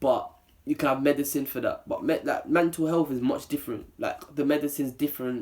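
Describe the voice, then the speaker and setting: The speaker talks with a London accent. The pace is fairly quick. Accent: London multicultural English. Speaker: YouTuber. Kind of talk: opinion vlog. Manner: serious, less playful.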